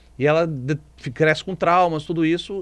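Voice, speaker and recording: At a moderate pace, a man talks in a Brazilian accent with a fairly high pitch. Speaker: film critic. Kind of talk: radio film review segment. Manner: animated, conversational.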